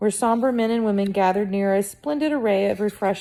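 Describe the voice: The words are simply read aloud in a plain way.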